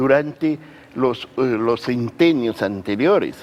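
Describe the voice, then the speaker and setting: A man at a fairly slow pace, amid noticeable background noise. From Peru. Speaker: writer and academic. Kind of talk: TV interview answer. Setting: studio.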